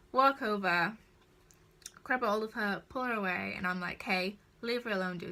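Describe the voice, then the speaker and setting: Speaking with a strong northern English accent, a woman at a medium pitch has a bright, sharp, animated tone, ordinary pitch variation and a fairly slow pace, on a very clean recording with a silent background. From northern England. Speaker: vlogger. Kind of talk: storytime vlog. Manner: casual and animated.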